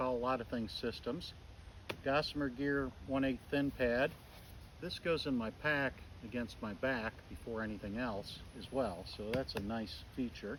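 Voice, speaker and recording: This man has a normal speaking voice at a medium pitch, with ordinary pitch variation. He talks at a fairly slow pace. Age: 60s. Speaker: outdoor gear reviewer. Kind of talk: tutorial. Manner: casual.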